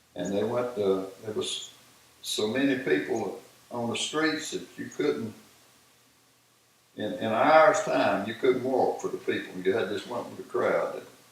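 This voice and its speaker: Recorded with audible room echo and noticeable background noise, a man talks at a fairly slow pace, leaving long, frequent pauses. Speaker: war veteran. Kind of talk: casual chat. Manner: halting.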